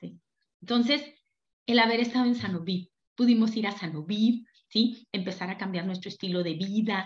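A woman with a plain, everyday voice, fairly high in pitch, lively in intonation, at a fairly slow pace. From Mexico, Durango. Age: 50s. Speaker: network marketing leader. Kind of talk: motivational seminar talk.

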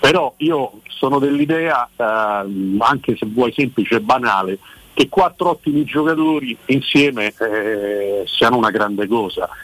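A man's plain, everyday voice at medium pitch, fairly slow in pace, with ordinary pitch variation and a dry, close sound with no echo. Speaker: football journalist. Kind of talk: casual chat. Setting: phone call.

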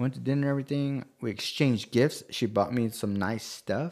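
This man has a plain, everyday voice. His pitch sits in the medium range. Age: 40s. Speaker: podcast co-host. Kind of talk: casual chat.

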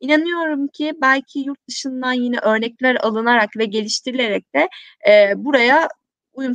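A high-pitched woman at a moderate pace, in a dry, close sound with no echo. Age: 20s. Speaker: social responsibility platform founder. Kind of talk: live-stream interview.

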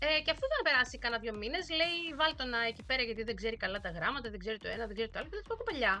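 A woman's very fast speech with hardly any pauses, over music in the background. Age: 40s. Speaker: language teacher. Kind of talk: casual chat.

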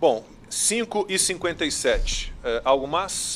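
Noticeable background noise runs under the clip. A man talks with very wide pitch swings. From Rio de Janeiro. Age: 50s. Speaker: TV news anchor. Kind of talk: news talk show.

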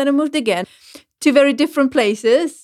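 A woman with a German accent talks at a fairly quick pace. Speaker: radio presenter. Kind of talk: casual chat.

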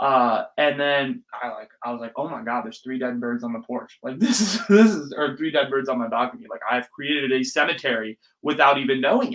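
Speaking with an American accent, a fairly high-pitched man goes at a fairly quick pace with hardly any pauses, ordinary pitch variation and big swings in loudness. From US West Coast, Silicon Valley, California. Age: 20s. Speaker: podcast host. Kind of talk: casual solo monologue. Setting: home, sitting on bedroom floor. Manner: animated; fast talker.

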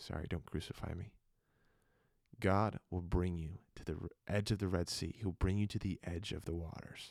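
With fairly even intonation, a man talks at a very deep, low pitch. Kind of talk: sermon-like devotional monologue. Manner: quiet, slow, deliberate; earnest, sermonizing.

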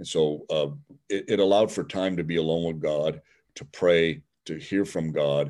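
Speaking with a Midwestern US accent, a man uses a very deep, low pitch with ordinary pitch variation. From Cleveland, Ohio. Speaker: seminary professor. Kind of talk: interview. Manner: halting, many fillers.

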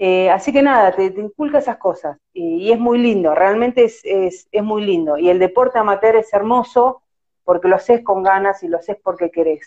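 A woman's dark, mellow tone at a moderate pace. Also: medium pitch for a woman, ordinary pitch variation. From Argentina, La Plata. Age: 40s. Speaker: amateur field hockey goalkeeper. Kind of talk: casual interview. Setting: Instagram live video call.

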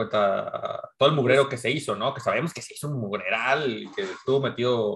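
Fairly slow speech with a bright, sharp tone and lively intonation, in a Mexican accent. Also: man. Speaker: podcast co-host. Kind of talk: casual chat.

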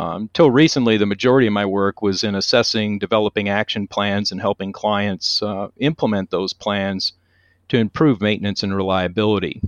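A man speaks in a plain, everyday voice. His pitch is fairly low and his pace moderate. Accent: American. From US Northeast, Connecticut. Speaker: maintenance and reliability consultant, author, Coast Guard veteran. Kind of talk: interview.

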